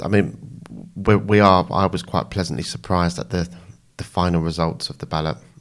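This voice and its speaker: Speaking at a fairly quick pace, a man with a very deep, low pitch uses lively intonation. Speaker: mental health nurse, activist. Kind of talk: interview conversation. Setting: studio.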